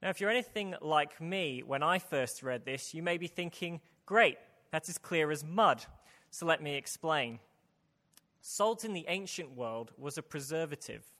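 In a very clean recording with a silent background, a man with a British accent speaks at a moderate pace with a fairly high pitch, a bright, sharp tone and ordinary pitch variation. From UK. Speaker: preacher. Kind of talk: sermon. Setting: church.

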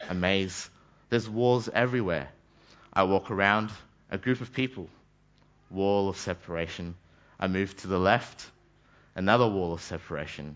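Speech in an Australian accent at a moderate pace. The pitch varies in an ordinary way. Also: man. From Australia, Brisbane (childhood also in Malaysia and New Zealand). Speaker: trainee pastor. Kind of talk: sermon.

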